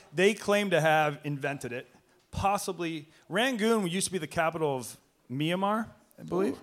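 A man with an American accent speaks at a moderate pace. His voice is high-pitched and his intonation lively. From Boston. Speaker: sports media personality. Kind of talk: live podcast interview. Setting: stage with audience.

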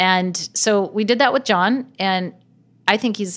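A woman's voice with ordinary pitch variation comes through a very clean recording with a silent background. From US Pacific Northwest (Gig Harbor, near Seattle). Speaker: venture capital investor. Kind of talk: interview. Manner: laughs often.

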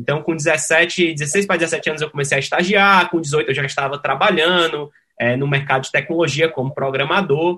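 At a moderate pace with hardly any pauses, a man uses a bright, sharp tone at a fairly high pitch. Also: fairly even intonation. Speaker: tech startup CEO. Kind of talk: interview.

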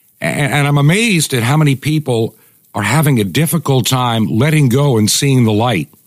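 A man speaks in an ordinary speaking voice at a moderate pace, with very even loudness. The sound is dry and close, with no echo. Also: medium pitch for a man, ordinary pitch variation. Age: 60s. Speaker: radio host. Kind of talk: opinion monologue.

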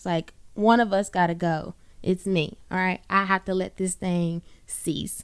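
A woman with a Southern US accent speaks in an animated tone at a medium pitch and a fairly slow pace, on a very clean recording with a silent background. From US South, Birmingham, Alabama. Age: 20s. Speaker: podcast host. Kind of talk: solo podcast monologue.

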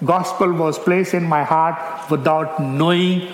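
Against noticeable background noise, a man with a fairly high pitch speaks at a fairly slow pace. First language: not English; English is his third language. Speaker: missionary preacher. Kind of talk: sermon. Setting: church.

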